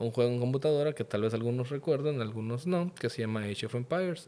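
This man has an ordinary speaking voice at medium pitch, with ordinary pitch variation. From Mexico, Yucatán (Mérida). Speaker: podcast guest. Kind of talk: casual chat.

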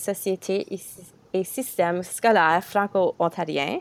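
Her intonation fairly even, a woman talks at a fairly slow pace with medium pitch. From Ontario. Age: 20s. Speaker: podcast host and student teacher. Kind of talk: casual interview.

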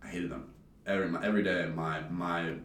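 Talking at a fairly quick pace, a man with a very deep, low voice is heard with audible room echo. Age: 20s. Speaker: college student. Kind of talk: casual chat.

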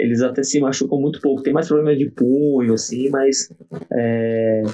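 An unremarkable speaking voice with ordinary pitch variation and very even loudness. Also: man. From southern Santa Catarina, Brazil. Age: 40s. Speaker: gymnastics coach. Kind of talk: casual interview.

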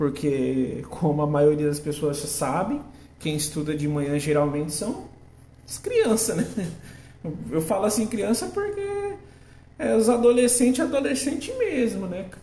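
Pitch swings very widely between long, frequent pauses, with audible echo from the room. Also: man, high pitch for a man. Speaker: podcast host and agronomy student. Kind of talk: casual monologue. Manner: halting.

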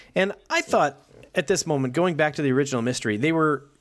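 Recorded very cleanly over a silent background, a man talks with lively intonation in a fairly high voice. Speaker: podcast co-host. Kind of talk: casual chat. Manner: loud.

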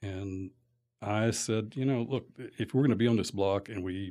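A man speaks at a fairly low pitch with ordinary pitch variation on a very clean recording with a silent background. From Lexington, Kentucky. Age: 60s. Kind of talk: casual interview. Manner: hesitant, many fillers.

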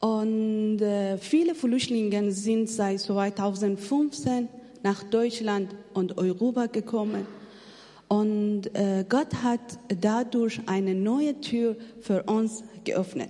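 A woman at a very slow pace, with long, frequent pauses and ordinary pitch variation, over noticeable background noise. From Afghanistan. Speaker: missionary. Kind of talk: testimony. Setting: church. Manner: halting.

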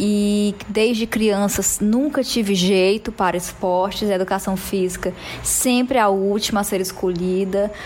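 A woman at medium pitch speaks fairly slowly with hardly any pauses and very even loudness. Noticeable background noise is present. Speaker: podcast co-host. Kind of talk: casual chat. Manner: animated.

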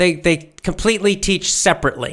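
This man has a high pitch and a bright, sharp tone in a raised, projected voice. His pace is moderate and his pitch variation ordinary. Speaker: English teacher. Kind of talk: live online lesson with book reading and commentary. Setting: livestream. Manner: animated.

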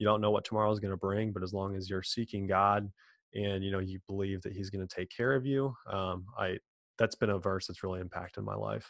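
A man's flat, monotone delivery at a fairly quick pace, dry and close with no echo, over a quiet background. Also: fairly low pitch for a man. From US Midwest, Illinois. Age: 20s. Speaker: podcast co-host, real estate investor. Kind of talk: interview, casual chat.

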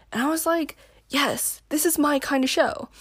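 A woman is speaking. Her pace is fairly slow. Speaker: podcast host. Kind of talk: casual solo chat podcast. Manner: rambling, tangents, self-deprecating humor.

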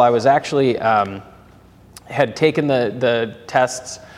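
A man with an American accent. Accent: Minnesotan, slight to moderate. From Twin Cities, Minnesota. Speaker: business banker. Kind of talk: casual interview chat.

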